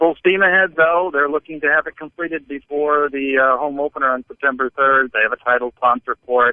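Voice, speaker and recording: Using an ordinary speaking voice, a man talks at a fairly quick pace with ordinary pitch variation. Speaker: podcast co-host. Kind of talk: sports podcast banter. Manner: dry, wry.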